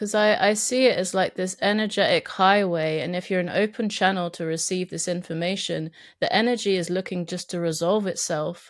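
Speaking with a southern English accent, a woman uses a medium pitch and fairly even intonation at a fairly quick pace with hardly any pauses. The recording is very clean, with a silent background. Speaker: podcast guest. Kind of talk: casual chat.

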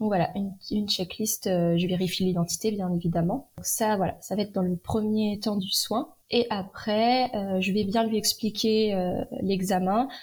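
A somewhat breathy woman at a medium pitch speaks at a fairly slow pace with hardly any pauses and fairly even intonation, in a very clean recording against a silent background. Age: 20s. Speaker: endoscopy nurse. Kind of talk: interview.

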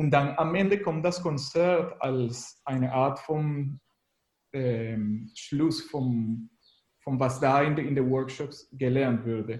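Speaking at a very slow pace, a man with a fairly high pitch sounds somewhat breathy and uses ordinary pitch variation. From Venezuela. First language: Spanish (speaking German). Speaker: graphic designer and musician. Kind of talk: radio interview. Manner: halting.

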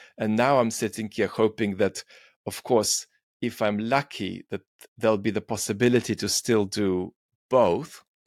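A man with a Russian accent, dry and close with no echo, on a very clean recording with a silent background. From Soviet Union, raised in Israel and UK. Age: 40s. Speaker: philosopher and YouTuber. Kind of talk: long-form interview.

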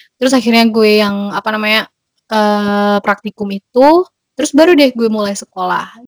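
A woman with a plain, everyday voice, fairly high in pitch, at a moderate pace with ordinary pitch variation. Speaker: Indonesian student abroad. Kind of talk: casual interview.

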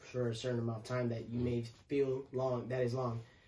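Amid noticeable background noise, a man talks in monotone, flat intonation. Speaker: podcast host. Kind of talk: casual chat. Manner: halting.

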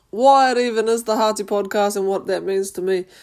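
This woman speaks at a fairly quick pace. She has a New Zealand accent. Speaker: podcast host and amateur boxer. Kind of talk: casual monologue.

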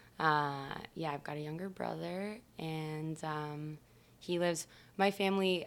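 Fairly slow, fairly even speech in an American accent. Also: woman. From US Midwest, Michigan. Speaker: musician. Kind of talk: casual chat.

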